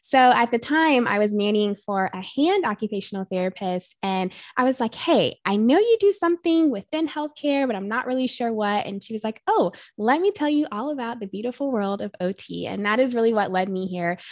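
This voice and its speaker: A woman at a fairly high pitch and fairly quick pace against a quiet background. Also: lively intonation, hardly any pauses, dry, close sound with no echo. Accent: American. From North Carolina. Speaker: pediatric occupational therapist. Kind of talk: podcast interview.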